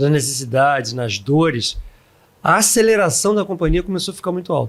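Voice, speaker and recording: Pitched high, a man's voice rises and falls with lively intonation. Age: 60s. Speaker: software company founder. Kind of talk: podcast interview. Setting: recorded at a live event.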